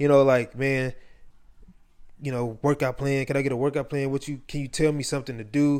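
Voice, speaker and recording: A man with an unremarkable speaking voice talks at a fairly quick pace. His pitch is fairly high. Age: 20s. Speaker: podcast host. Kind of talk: motivational monologue. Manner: casual, filler-heavy.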